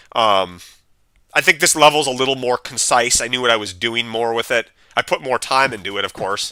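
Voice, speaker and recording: A loud man at a medium pitch, with a bright, sharp tone, a fairly quick pace, ordinary pitch variation, and a dry, close sound with no echo. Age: 30s. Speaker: gaming streamer. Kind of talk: live gameplay stream chat. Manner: casual, rambling with filler words.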